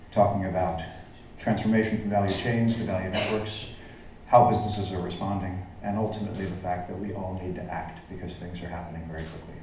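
A man at a very fast pace, very deep and low in pitch with monotone, flat intonation, amid audible room echo and light background noise. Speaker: keynote speaker. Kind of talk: keynote presentation. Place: hall.

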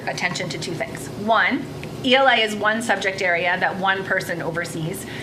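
A woman's medium-pitched voice comes through with noticeable background noise and audible room echo. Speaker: school district administrator. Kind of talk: presentation at board meeting.

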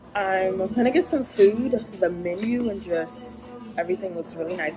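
A woman's voice comes with clear music behind it. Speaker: graduate student vlogger. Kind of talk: casual vlog chat. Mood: relaxed, upbeat. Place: cafe. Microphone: phone near.

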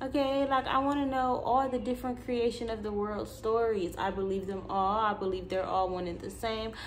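A woman with a fairly high pitch and an animated tone, moderate pace, hardly any pauses, ordinary pitch variation, and light background noise. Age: 20s. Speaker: YouTuber and spiritual content creator; vlogger. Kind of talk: casual monologue vlog. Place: home room. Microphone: phone near.

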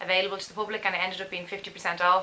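A woman speaks in an Irish accent. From Dublin, Ireland. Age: 20s. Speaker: parenting vlogger. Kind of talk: casual talk to camera. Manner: chatty, enthusiastic. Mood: cheerful, enthusiastic. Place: home room. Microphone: camera far.

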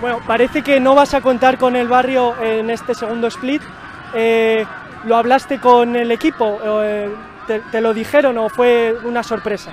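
Crowd noise fills the background while the speech moves at a fairly slow pace. The sound is dry, with no echo. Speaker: sports reporter. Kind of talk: post-match interview. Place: stadium.

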